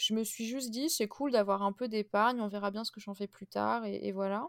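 A woman with an ordinary speaking voice, fairly high-pitched, with fairly even intonation. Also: dry, close sound with no echo. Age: 20s. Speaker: podcast host. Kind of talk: casual chat.

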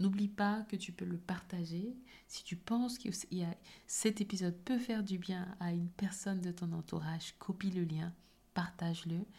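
Somewhat breathy, a woman speaks in a dark, mellow tone. Her pace is fairly slow and her intonation fairly even. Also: medium pitch for a woman. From Cameroon. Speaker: podcast host. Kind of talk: motivational solo podcast.

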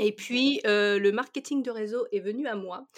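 The woman's intonation is lively. She keeps to a fairly slow pace. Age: 40s. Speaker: confidence coach. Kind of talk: casual interview.

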